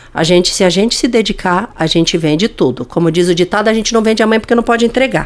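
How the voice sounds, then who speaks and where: A woman at medium pitch and a fairly quick pace, lively in intonation, against noticeable background noise. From Paraná, Brazil (Francisco Beltrão). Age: 60s. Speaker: business leader. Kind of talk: podcast interview.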